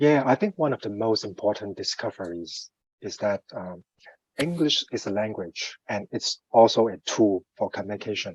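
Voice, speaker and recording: A man with a Cantonese accent speaks with lively intonation. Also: medium pitch for a man, moderate pace, dry, close sound with no echo. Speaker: finance professional, coaching client. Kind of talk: interview. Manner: halting, many fillers.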